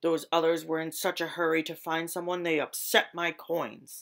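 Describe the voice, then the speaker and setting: Putting on a character voice, a woman growls in a raspy, fairly low register with monotone, flat intonation at a moderate pace. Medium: read story. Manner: growling, snarling.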